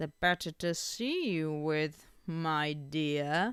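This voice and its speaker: Delivered at a very slow pace, the put-on character voice sits at a middle pitch. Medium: read story. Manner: sly, wheedling.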